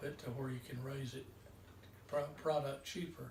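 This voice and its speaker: A man speaks with a North Carolina accent at a fairly high pitch for a man. His intonation stays fairly even, and the room echo is audible. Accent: Southern US, North Carolina. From US South, North Carolina (Mount Pleasant). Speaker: farmer. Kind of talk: interview.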